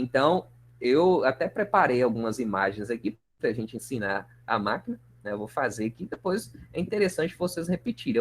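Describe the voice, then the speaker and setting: This man's pitch swings very widely. He speaks at a moderate pace. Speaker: university lecturer. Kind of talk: online lecture.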